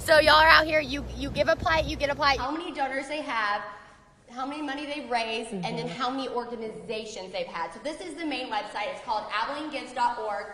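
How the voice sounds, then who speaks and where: Over noticeable background noise, a woman talks at a very fast pace in a high voice with lively intonation. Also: big swings in loudness. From Texas. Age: 20s. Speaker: TV news reporter. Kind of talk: TV news field reporting.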